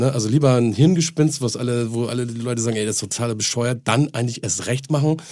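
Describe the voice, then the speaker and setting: A man with a dark, mellow tone talks at a very fast pace and medium pitch, with ordinary pitch variation. The recording is very clean, with a silent background. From northern Germany. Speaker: music label owner. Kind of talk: casual chat.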